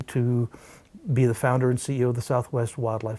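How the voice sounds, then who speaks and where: The voice has a dark, mellow tone and is somewhat breathy. It moves at a very fast pace in a flat, monotone intonation. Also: man. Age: 60s. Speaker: wildlife rescuer and falconer. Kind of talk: interview answer.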